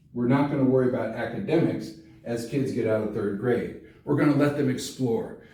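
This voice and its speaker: In a room with audible echo, a man speaks at a medium pitch with ordinary pitch variation. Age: 60s. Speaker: congressional candidate and teacher. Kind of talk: campaign explainer talk. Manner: casual, conversational with fillers.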